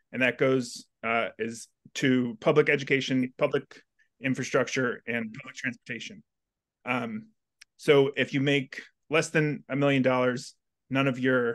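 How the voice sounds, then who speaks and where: Against a quiet background, a man talks fairly slowly with fairly even intonation. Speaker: union organizer. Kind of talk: panel moderation. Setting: video call. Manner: halting, many fillers. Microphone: video call.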